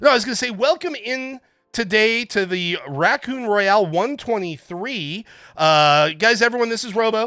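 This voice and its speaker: Speech at a moderate pace on a very clean recording with a silent background. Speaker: marble race livestream host. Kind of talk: casual chat. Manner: loud; halting.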